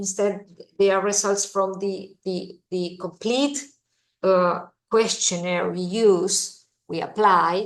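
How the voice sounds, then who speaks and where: A woman speaks with a Spanish accent at medium pitch. Her pace is very slow. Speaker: visiting professor, economist. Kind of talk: lecture. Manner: halting, many fillers and repetitions.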